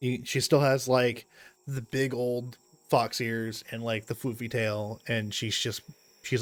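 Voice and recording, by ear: Here a text is read aloud in a natural voice. Intonation remains fairly even throughout.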